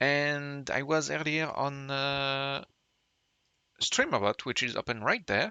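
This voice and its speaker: The voice belongs to a man. His accent is French. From France. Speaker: streamer. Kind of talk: live stream chat. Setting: live stream from home. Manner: halting.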